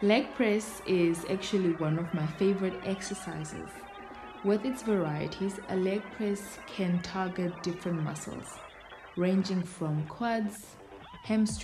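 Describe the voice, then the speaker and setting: A woman at a fairly slow pace, fairly even in intonation, with music in the background. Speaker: channel host narrating. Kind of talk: tutorial voice-over.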